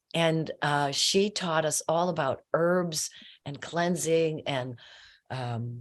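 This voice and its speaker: A woman's very deep, low voice at a very slow pace, with ordinary pitch variation. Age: 70s. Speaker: massage therapist. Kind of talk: casual chat.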